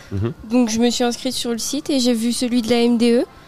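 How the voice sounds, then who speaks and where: Through noticeable background noise, a woman speaks at high pitch with monotone, flat intonation. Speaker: civic service volunteer. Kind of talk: radio interview.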